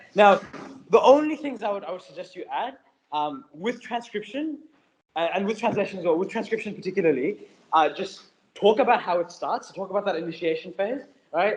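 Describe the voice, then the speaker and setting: Speaking at a fairly quick pace, a man uses a high pitch, lively intonation and big swings in loudness. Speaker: tutor. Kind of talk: tutorial class. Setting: classroom with online students. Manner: fast.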